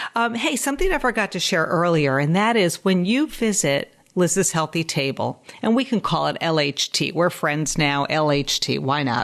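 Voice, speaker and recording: An American accent at a moderate pace, with very wide pitch swings and very even loudness. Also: woman, fairly low pitch for a woman. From New York (Westchester). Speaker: dietitian and podcast host. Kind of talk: casual podcast monologue.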